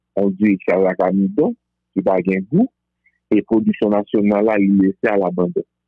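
Fairly even in intonation and fairly low in pitch, a man talks in a plain, everyday voice. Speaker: Vodou practitioner. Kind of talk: interview.

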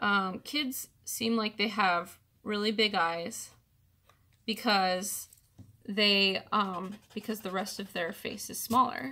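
At a very slow pace, a woman speaks with a medium pitch, ordinary pitch variation, and a bright, sharp tone, recorded very cleanly over a silent background. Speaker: artist teaching drawing. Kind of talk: tutorial. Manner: casual, hesitant with fillers.

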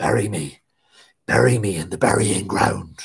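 A man whispers in a raspy, put-on character voice. His pace is fairly slow. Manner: whispering, terse, commanding.

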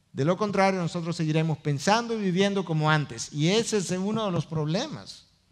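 A man's high-pitched voice at a fairly quick pace. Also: ordinary pitch variation, quiet background. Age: 50s. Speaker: pastor. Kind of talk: sermon. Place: stage.

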